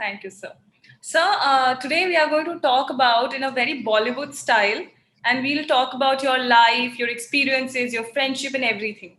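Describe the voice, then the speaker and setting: In an Indian accent, a woman talks at a moderate pace in a high pitch with ordinary pitch variation. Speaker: talk show host. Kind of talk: talk show interview.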